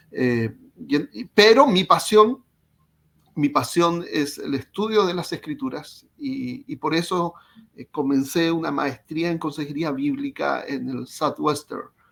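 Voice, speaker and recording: With a Chilean accent, a man talks very slowly in a fairly high voice, his intonation lively and his loudness swinging widely. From Chile, Concepción. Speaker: psychologist. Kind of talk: interview. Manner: halting, repeats words.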